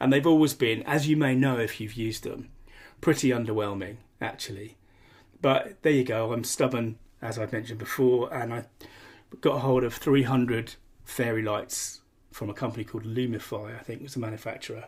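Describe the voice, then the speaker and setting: Somewhat breathy, a man talks at a fairly quick pace at a medium pitch with fairly even intonation. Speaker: podcast host. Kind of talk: solo podcast monologue.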